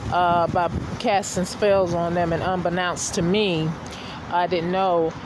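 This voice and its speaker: A woman's medium-pitched voice amid noticeable background noise and audible room echo. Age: 50s. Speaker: vlogger. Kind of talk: personal rant vlog. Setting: outdoors. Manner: halting, many fillers.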